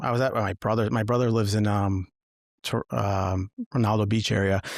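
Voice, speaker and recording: A man with an American accent and an ordinary speaking voice talks at a fairly quick pace, with fairly low pitch, fairly even intonation and very even loudness. The recording is very clean with a silent background, and the sound is dry and close with no echo. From Massachusetts, US. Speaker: former state trooper turned coach. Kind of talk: podcast interview, personal story.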